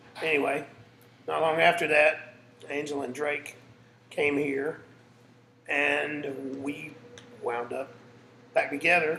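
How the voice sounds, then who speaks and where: In a Southern US accent, a man with a fairly high pitch speaks very slowly and in a flat monotone, leaving long, frequent pauses amid noticeable background noise. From South Carolina. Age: 40s. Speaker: musician and father. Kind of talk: casting interview.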